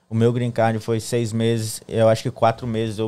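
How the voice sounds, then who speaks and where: A man's dark, mellow tone at medium pitch, flat and monotone in intonation. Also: very clean recording, silent background. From Espírito Santo, Brazil. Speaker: guest, social media professional. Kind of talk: casual interview chat. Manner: casual, conversational.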